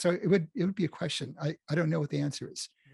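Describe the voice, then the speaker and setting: In a dry, close recording with no echo, a man with an American accent speaks in a fairly high, somewhat breathy voice with a dark, mellow tone and ordinary pitch variation. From Los Angeles, US West Coast. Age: 70s. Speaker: game designer and programmer. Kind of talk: interview conversation.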